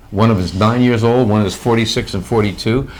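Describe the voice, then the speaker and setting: Noticeable background noise sits behind the voice. A man talks at a moderate pace and medium pitch. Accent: American. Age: 70s. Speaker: medical journalist. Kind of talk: interview. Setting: on location. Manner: animated.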